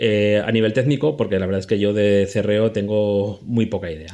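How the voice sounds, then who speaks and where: This is a normal speaking voice from a man, pitched fairly low. He talks at a moderate pace against a quiet background. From Spain, Zaragoza (Aragon). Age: 40s. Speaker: podcast producer and editor. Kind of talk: casual chat.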